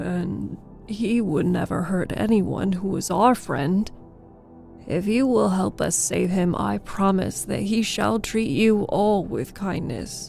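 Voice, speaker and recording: Over clear background music, a woman uses a put-on character voice at a medium pitch and a fairly slow pace. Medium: read story. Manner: earnest, friendly.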